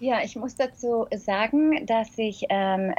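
A woman speaks very slowly in a fairly high, somewhat breathy voice. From Germany. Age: 40s. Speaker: flight attendant and blogger. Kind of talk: interview.

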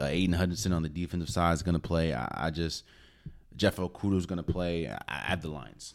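A man's very deep, low voice with vocal fry, a very fast pace, and ordinary pitch variation. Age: 20s. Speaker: sports podcast host. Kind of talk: casual solo commentary. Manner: animated.

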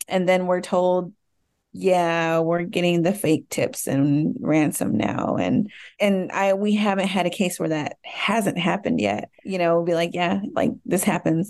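A woman with an American accent speaks in a normal speaking voice, fairly low in pitch and fairly slow. Her loudness stays very even, with ordinary pitch variation. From US South, Dallas, Texas. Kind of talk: interview.

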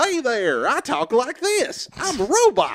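A man speaks in a put-on character voice at an extremely high pitch. His pace is fairly slow.

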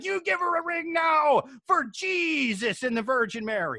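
A put-on character voice at high pitch swings very widely in pitch at a moderate pace. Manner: furious, scolding.

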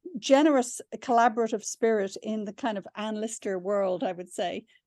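A woman speaks with an Irish accent. The sound is dry and close with no echo, over a quiet background. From Ireland. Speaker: novelist and screenwriter. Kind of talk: interview. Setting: video call.

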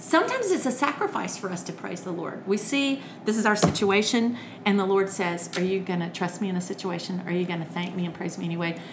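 With an American accent, a woman of medium pitch talks at a very fast pace with ordinary pitch variation, over noticeable background noise and audible room echo. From Alabama (Birmingham), US South. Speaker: children's entertainer and author. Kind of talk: casual interview. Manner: talkative.

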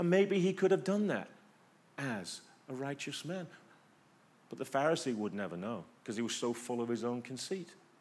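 With an English accent, a man speaks at medium pitch with very wide pitch swings and long, frequent pauses. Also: moderate pace. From England. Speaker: pastor. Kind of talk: sermon. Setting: church. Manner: conversational, rhetorical questions.

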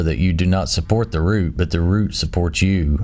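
Amid noticeable background noise, a man with a very deep, low voice speaks in a solemn tone with fairly even intonation. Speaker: Bible study host reading scripture. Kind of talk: scripture reading aloud. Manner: solemn, measured, reverent; steady, formal.

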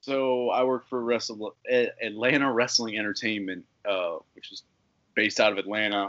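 A man speaks with an American accent and an unremarkable speaking voice at medium pitch. His intonation is fairly even, while his loudness swings widely. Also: moderate pace. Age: 20s. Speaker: independent pro wrestler. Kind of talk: casual interview.

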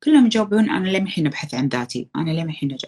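Her pitch swings very widely. The woman's voice is somewhat breathy and fairly low in pitch. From Kuwait. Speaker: content creator. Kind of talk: casual chat. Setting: live stream.

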